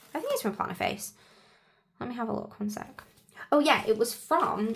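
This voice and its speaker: A woman is speaking. She has an English accent. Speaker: planner vlogger. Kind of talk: casual tutorial chat. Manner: hesitant, lots of fillers.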